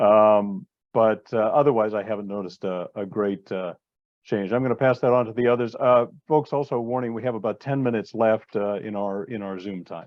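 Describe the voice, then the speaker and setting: Talking at a fairly quick pace, a man with a fairly low pitch shows ordinary pitch variation. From United States. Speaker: magazine editor and event moderator. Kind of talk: panel discussion on video call. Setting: video call. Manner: halting, many fillers.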